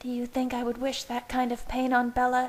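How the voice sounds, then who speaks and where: A woman's put-on character voice, high-pitched, fairly quick and monotone with flat intonation. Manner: fierce.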